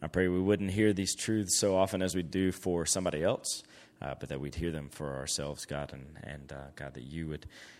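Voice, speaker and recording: At a fairly quick pace, a man with a very deep, low pitch speaks in a Southern US accent with ordinary pitch variation. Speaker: camp staff member introducing speakers and praying.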